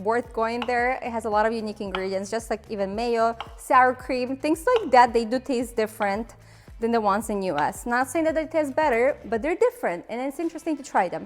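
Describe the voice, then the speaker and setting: Over music in the background, a woman with a Ukrainian accent speaks at a fairly quick pace in an upbeat tone. Her pitch is high, with lively intonation. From Ukraine. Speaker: cooking video host. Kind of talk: cooking tutorial. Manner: casual, upbeat.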